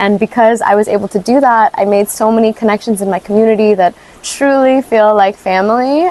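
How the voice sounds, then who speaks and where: At a moderate pace, a woman talks in a normal speaking voice with fairly high pitch and ordinary pitch variation, the sound dry and close with no echo. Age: 20s. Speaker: small business owner. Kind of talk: interview monologue.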